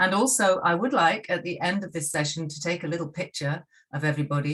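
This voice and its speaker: A woman with a British accent speaks at a moderate pace, her somewhat breathy voice carrying lively intonation. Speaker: university lecturer. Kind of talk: lecture.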